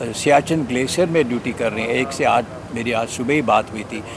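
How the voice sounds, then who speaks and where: Noticeable background noise accompanies a man speaking at medium pitch with fairly even intonation. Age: 70s. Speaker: retired army general. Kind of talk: interview.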